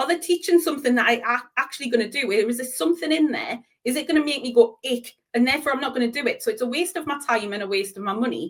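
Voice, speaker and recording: A woman speaks very fast in a strong Geordie accent, her pitch high. Her intonation is lively. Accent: Geordie, broad. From northern England, Newcastle (Geordie). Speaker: business coach. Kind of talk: interview.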